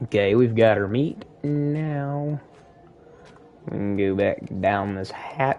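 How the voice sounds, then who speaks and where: A man talks at a very slow pace with long, frequent pauses. His voice sits at a medium pitch with a dark, mellow tone. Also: ordinary pitch variation. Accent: Southern US. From US South. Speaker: gaming streamer. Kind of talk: live gameplay commentary. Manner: casual, conversational.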